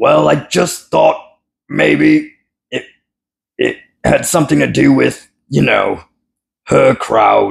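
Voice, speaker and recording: In a put-on character voice, the speaker mumbles at a very slow pace with long, frequent pauses. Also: man, very deep, low pitch for a man. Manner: nervous, mumbling.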